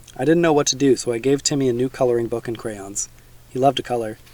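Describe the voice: The clip consists of plain reading aloud.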